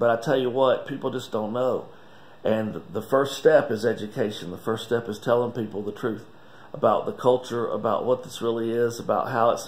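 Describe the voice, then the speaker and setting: This man talks at a moderate pace, his pitch sitting in the medium range. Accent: North Carolina. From Wilkes County, North Carolina. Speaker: master distiller. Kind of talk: casual talk to camera. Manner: enthusiastic. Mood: earnest, emotional. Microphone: phone near.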